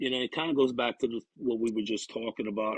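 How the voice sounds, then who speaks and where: With a Louisiana accent, a man speaks at a medium pitch and a fairly quick pace. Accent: Bayou. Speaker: recovery counselor. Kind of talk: casual interview.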